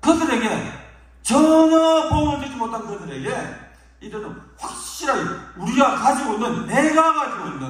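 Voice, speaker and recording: The lively intonation comes with big swings in loudness, audible room echo and noticeable background noise. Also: man, extremely high pitch for a man, moderate pace. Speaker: pastor. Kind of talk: sermon. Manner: forceful.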